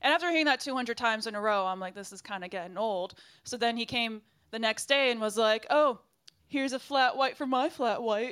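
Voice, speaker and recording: A woman speaks at a fairly quick pace in a fairly high pitch and an ordinary speaking voice, with ordinary pitch variation, big swings in loudness, and a very clean recording against a silent background. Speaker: podcast co-host and comedian. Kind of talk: casual banter.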